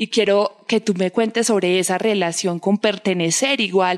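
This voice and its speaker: Noticeable background noise accompanies a woman whose intonation stays fairly even. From Colombian provinces. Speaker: podcast host. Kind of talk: interview.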